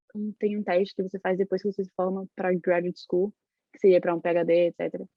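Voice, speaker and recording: A woman rattles along at a very fast pace in a medium pitch with monotone, flat intonation. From Brazil, Salvador, Bahia. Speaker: university student. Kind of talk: interview.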